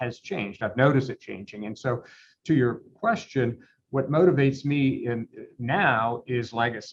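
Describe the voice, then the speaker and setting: This man has a plain, everyday voice at medium pitch. He talks at a moderate pace with ordinary pitch variation. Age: 60s. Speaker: law firm owner. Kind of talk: interview.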